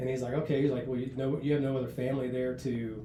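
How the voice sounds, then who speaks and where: A man at a medium pitch with monotone, flat intonation and a fairly quick pace, amid noticeable background noise and audible room echo. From US, north central West Virginia. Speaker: senior Navy enlisted leader. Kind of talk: podcast interview. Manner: casual, with many hesitations and repeats.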